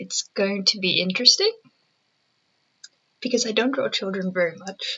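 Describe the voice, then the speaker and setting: A soft-spoken woman talks at a moderate pace with a medium pitch and ordinary pitch variation. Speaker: digital artist. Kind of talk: casual drawing commentary. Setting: at home. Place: home room. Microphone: webcam.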